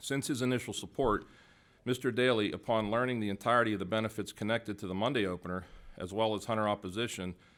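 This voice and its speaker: With an American accent, a man speaks very fast at a fairly low pitch and with fairly even intonation on a very clean recording with a silent background. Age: 60s. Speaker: hunting advocate testifying at hearing. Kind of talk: prepared testimony. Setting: public hearing. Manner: formal.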